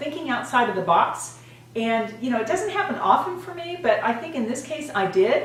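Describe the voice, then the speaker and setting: Against noticeable background noise and audible room echo, a woman with a high pitch speaks in an animated tone at a moderate pace, her pitch swinging very widely. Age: 60s. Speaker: beauty and fitness vlogger. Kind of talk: casual vlog talk to camera.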